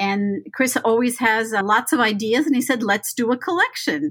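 A plain, everyday voice, a woman with an American accent at a fairly high pitch and a moderate pace. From Los Angeles, California. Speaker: professor. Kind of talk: casual chat.

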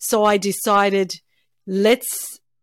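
A woman's medium-pitched voice, dry and close with no echo, in a very clean recording with a silent background. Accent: Australian. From Melbourne, Australia. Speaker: cancer survivor. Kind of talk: casual interview chat.

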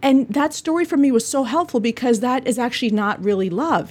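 The voice is somewhat breathy and fairly quick. Its intonation is lively. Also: woman. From Bolivia. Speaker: eye doctor. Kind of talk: educational podcast monologue.

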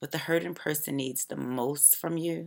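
This voice has an American accent and vocal fry. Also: woman. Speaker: author reading own audiobook. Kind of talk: reading aloud, personal memoir/self-help audiobook. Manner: reflective, earnest.

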